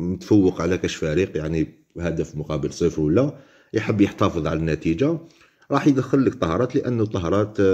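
A man with a very deep, low pitch and a dark, mellow tone speaks with lively intonation at a moderate pace. The background is quiet. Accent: Algerian. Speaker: football pundit. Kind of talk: casual commentary monologue. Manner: halting, many fillers.

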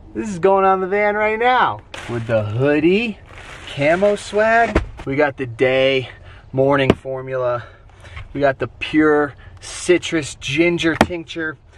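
Over noticeable background noise, a man speaks at a fairly slow pace with very wide pitch swings and long, frequent pauses, in a dry sound with no echo. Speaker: travel vlogger. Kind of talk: casual vlog chat. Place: car.

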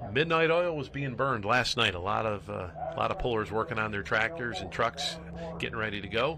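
Against noticeable background noise, a man speaks at a fairly quick pace in a bright, sharp tone with very wide pitch swings. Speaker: play-by-play commentator. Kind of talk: sports commentary.

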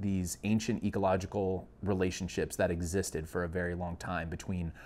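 This man's pitch is very deep and low. He talks at a moderate pace with fairly even intonation. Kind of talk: interview answer. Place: office.

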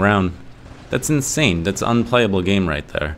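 Over noticeable background noise, a man speaks with lively intonation. His pitch is fairly low. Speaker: gaming YouTuber. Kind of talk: casual game review vlog. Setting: echoey home studio room. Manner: animated.

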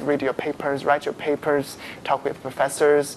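The speaker has a Chinese accent. There is light background noise. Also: man. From China. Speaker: graduate student. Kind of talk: live panel discussion. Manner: halting. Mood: friendly, relaxed, smiling. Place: studio. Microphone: lapel.

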